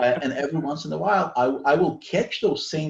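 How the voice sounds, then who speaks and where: A man's fairly high, somewhat breathy voice. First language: not English (English is third language). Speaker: author. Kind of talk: casual chat.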